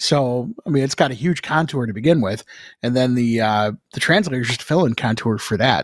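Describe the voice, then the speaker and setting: A man with a normal speaking voice talks at a fairly quick pace in a medium pitch, with ordinary pitch variation. The recording is very clean, with a silent background. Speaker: broadcast engineer co-host. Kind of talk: casual chat. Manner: jokey.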